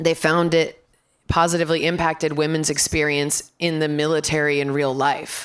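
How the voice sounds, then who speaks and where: Raspy and flat in a monotone, a woman with a very deep, low pitch speaks at a moderate pace. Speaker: voice actor. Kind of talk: panel discussion.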